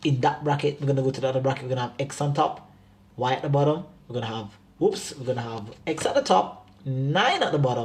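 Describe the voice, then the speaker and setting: At a very fast pace, a man talks in a medium pitch that varies in an ordinary way, his voice somewhat breathy. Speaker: math teacher. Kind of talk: tutorial. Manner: animated.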